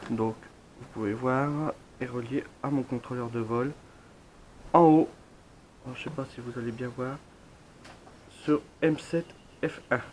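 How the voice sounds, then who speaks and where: Using fairly even intonation at a medium pitch, a man talks at a very slow pace with long, frequent pauses and big swings in loudness. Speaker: drone hobbyist. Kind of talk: product review talk to camera. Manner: casual, many fillers.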